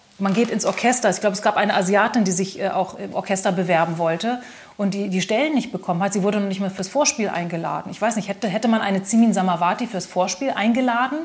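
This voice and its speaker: Someone speaks at a very fast pace with ordinary pitch variation. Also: woman, medium pitch for a woman. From Germany, Braunschweig. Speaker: singer, pianist and composer. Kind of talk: interview.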